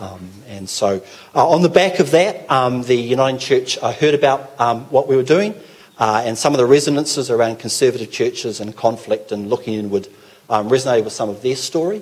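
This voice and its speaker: With a New Zealand accent, a man talks at a fairly quick pace in a medium pitch, his intonation lively and his loudness swinging widely. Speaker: pastor. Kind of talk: talk to a church gathering. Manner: hesitant, many fillers.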